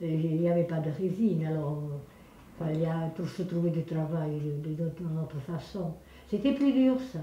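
At a fairly slow pace and a fairly low pitch, a woman talks with ordinary pitch variation and long, frequent pauses, amid light background noise and audible room echo. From Landes, southwest France. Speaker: village elder reminiscing. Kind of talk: interview answer. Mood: warm, reminiscing. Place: kitchen.

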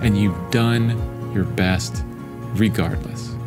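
Over clear music in the background, a man speaks at a very slow pace. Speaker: artist and content creator. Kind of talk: casual talk to camera, motivational. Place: home room. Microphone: studio mic.

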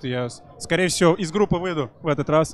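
The sound is dry with no echo, with light background noise. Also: man. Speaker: esports player; interviewee. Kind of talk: casual interview chat. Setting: live stream at event. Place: hall. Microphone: handheld.

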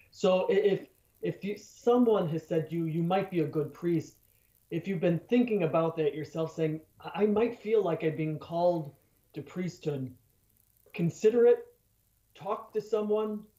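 Against a quiet background with audible room echo, a man with an American accent speaks in a high pitch, dark and mellow in tone, at a fairly slow pace with long, frequent pauses and ordinary pitch variation. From Chicago area, US Midwest. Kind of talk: radio interview. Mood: earnest, warm. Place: home room. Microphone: webcam.

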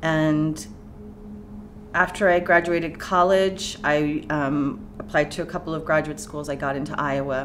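A woman talks at a fairly slow pace with a very deep, low pitch and fairly even intonation. Faint music plays in the background. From California. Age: 40s. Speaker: poet and professor; poet, professor. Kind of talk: oral history interview. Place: studio.

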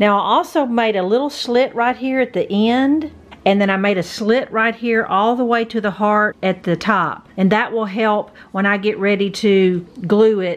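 A woman speaks at a moderate pace with few pauses. Her pitch variation is ordinary. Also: medium pitch for a woman.

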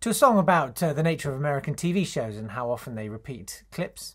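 A man talks at a very fast pace in a somewhat breathy voice with very wide pitch swings, over a quiet background. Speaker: comedy writer and voice artist. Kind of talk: casual talk to camera promoting his show. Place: home room. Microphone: webcam.

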